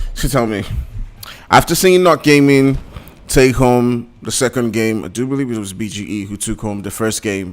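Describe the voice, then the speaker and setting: A man speaks in an animated tone at a moderate pace and a medium pitch. His pitch varies in an ordinary way, while his loudness swings widely. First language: not English. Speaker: esports commentator. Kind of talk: live commentary.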